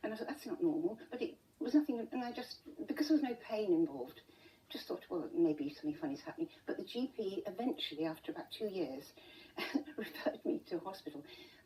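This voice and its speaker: A woman speaks at a fairly quick pace in a fairly high voice, her pitch swinging very widely. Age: 70s. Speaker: interview guest with rare pain condition. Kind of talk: TV interview. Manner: halting.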